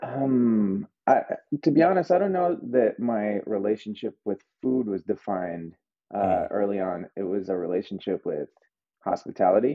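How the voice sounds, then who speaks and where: Speaking with an American accent, a man with an ordinary speaking voice and a fairly low pitch keeps a moderate pace and lively intonation. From New Mexico, US (Albuquerque). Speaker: chef and restaurant owner. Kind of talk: casual interview.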